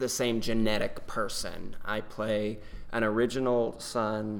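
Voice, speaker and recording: In an American accent, a man speaks at a very slow pace with monotone, flat intonation, and audible room echo surrounds his voice. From North Carolina, near Chapel Hill. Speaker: stage actor. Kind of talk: casual interview.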